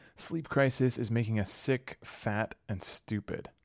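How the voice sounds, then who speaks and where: A man speaks in a plain, everyday voice. His pitch sits in the middle range and varies in an ordinary way. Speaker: podcast host and producer. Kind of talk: scripted narration.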